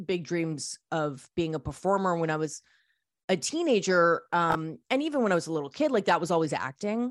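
A woman with a plain, everyday voice speaks at a moderate pace and fairly low pitch, her intonation lively, in a very clean recording with a silent background. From Canada. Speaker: radio host and record label founder. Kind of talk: interview.

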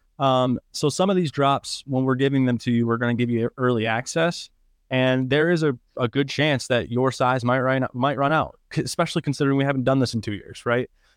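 Over a quiet background, a man with a normal speaking voice and medium pitch talks at a fairly quick pace with hardly any pauses and fairly even intonation, the sound dry and close with no echo. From Michigan, Downriver Detroit area. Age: 20s. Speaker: podcast host and high school coach. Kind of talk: casual chat.

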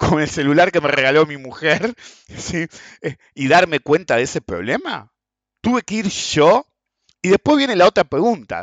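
A man's fairly high voice at a moderate pace, lively in intonation, with long, frequent pauses. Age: 50s. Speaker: economics and markets podcast host. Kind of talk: solo commentary monologue.

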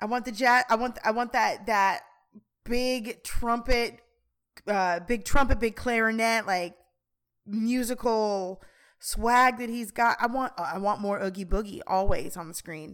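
On a very clean recording with a silent background, a woman with a fairly high pitch speaks in a normal speaking voice at a fairly slow pace with ordinary pitch variation. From Colorado, Aurora. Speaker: high school drama teacher. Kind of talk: casual chat.

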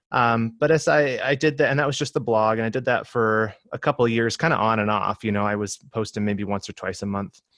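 An ordinary speaking voice from a man at medium pitch, fairly quick and with ordinary pitch variation, in a dry, close sound with no echo against a quiet background. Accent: American. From Michigan. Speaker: ministry digital director and productivity blogger. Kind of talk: interview.

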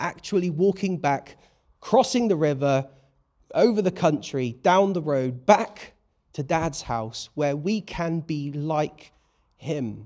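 A man with a British accent speaks in a dark, mellow tone at a fairly high pitch, his intonation lively and his pace fairly slow. The recording is very clean, with a silent background. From Britain. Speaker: preacher. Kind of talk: sermon.

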